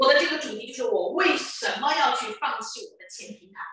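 A woman's raised, projected voice at an extremely high pitch, with strong room echo and a quiet background. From Chengdu, Sichuan, China; Sichuan, China. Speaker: entrepreneur and business recruitment speaker; presenter. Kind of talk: sales pitch. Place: hall. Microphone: handheld.

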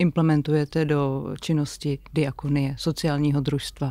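A woman talks at a very slow pace with fairly even intonation. The sound is dry with no echo, over a quiet background. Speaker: podcast host, business consultant. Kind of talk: interview. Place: studio. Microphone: studio mic.

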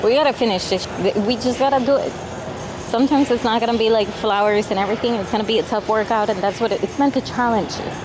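Music plays in the background as a woman talks at a very fast pace with fairly even intonation. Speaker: fitness vlogger. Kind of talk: casual vlog chat. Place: gym. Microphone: lapel.

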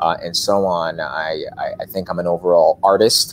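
Speaking at a moderate pace, a man uses a low pitch and fairly even intonation.

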